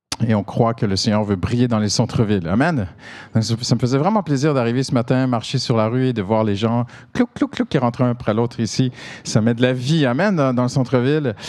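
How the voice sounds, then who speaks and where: A man talks at a fairly quick pace with a Canadian French accent. His pitch varies in an ordinary way. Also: medium pitch for a man. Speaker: pastor. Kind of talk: sermon. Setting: church service. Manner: animated.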